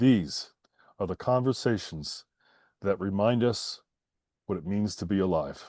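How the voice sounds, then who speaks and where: With an American accent, a man talks at a fairly slow pace in a dark, mellow tone and fairly low pitch, using ordinary pitch variation and long, frequent pauses against a quiet background. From Pennsylvania, Philadelphia area. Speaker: podcast host. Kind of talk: interview conversation; scripted show intro. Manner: halting, repeats words.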